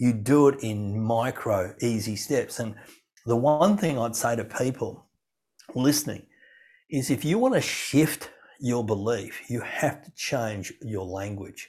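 Speaking with an Australian accent, a man uses a medium pitch and ordinary pitch variation. His pace is fairly slow. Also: very clean recording, silent background. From rural farm upbringing. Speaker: keynote speaker. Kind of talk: podcast interview.

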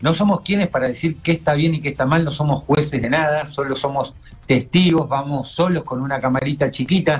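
A man speaks in a somewhat breathy, fairly high-pitched voice. His pitch varies in an ordinary way. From Argentina, Mar del Plata. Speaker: TV show creator. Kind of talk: casual chat.

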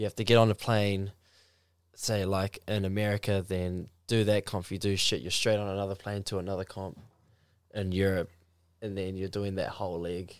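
The speaker has a New Zealand accent and a monotone, flat intonation. The recording is very clean with a silent background. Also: man, fairly low pitch for a man, moderate pace. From New Zealand, Mount Maunganui. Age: 20s. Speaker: professional surfer. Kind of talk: casual chat.

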